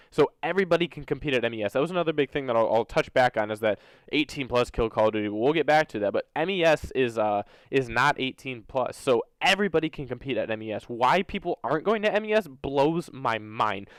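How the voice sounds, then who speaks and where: Speaking very fast with hardly any pauses, a man with an American accent uses a medium pitch and lively intonation in a very clean recording with a silent background and a dry, close sound with no echo. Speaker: gaming YouTuber and competitive player. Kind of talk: opinion rant to camera.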